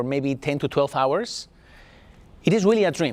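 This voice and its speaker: A man with a Spanish accent and a fairly high pitch. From Spain. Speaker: artist and art teacher. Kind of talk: talk to a class.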